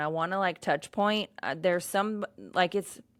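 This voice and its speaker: A loud woman's voice, fairly low in pitch, bright and sharp in tone, with ordinary pitch variation, a moderate pace and a very clean recording over a silent background. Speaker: podcast host. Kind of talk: casual solo podcast rant. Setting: on camera at home. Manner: loud, outgoing; yawning at times.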